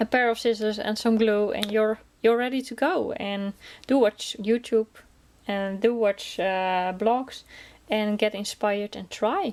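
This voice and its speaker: In a Dutch accent, this voice moves at a fairly slow pace with ordinary pitch variation. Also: woman. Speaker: crafting vlogger. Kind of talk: casual chat. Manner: chatty, hesitant with many fillers.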